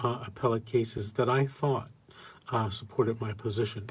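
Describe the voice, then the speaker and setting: A man talks in a somewhat breathy voice. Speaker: radio host. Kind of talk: live call-in show.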